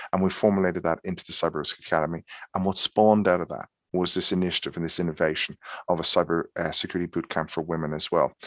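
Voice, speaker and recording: A man speaks very fast in an Irish accent, his pitch very deep and low and his intonation flat and monotone. The sound is dry and close with no echo, over a quiet background. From Ireland. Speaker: cybersecurity expert and founder. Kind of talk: webinar presentation. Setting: online webinar. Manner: halting, many fillers.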